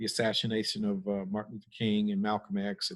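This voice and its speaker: A fairly low-pitched man with an American accent, very fast delivery and fairly even intonation. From US Midwest, Cleveland, Ohio. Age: 60s. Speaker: pastor. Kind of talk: panel discussion.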